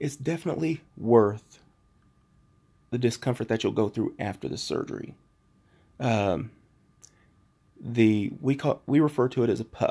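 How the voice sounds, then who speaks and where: Soft-spoken with vocal fry and a dark, mellow tone, a man talks at a medium pitch and a moderate pace. His pitch variation is ordinary, and he takes long, frequent pauses. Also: very clean recording, silent background. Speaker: vlogger recovering from surgery. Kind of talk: casual video diary. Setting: at home.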